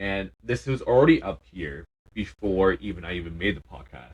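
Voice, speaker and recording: A plain, everyday voice, this man's fairly low pitch carries lively intonation at a moderate pace, recorded dry and close with no echo. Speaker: podcast co-host. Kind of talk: casual chat. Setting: home basement living area.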